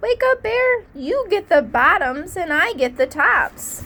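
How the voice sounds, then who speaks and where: A put-on character voice with very wide pitch swings. The pace is fairly slow. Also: woman, extremely high pitch for a woman. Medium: read story. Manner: cheerful, sly.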